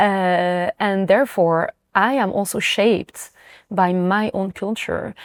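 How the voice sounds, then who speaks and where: With a French accent, a woman speaks at a medium pitch in a dry, close sound with no echo. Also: very clean recording, silent background. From France. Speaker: singer. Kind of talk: interview. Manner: halting.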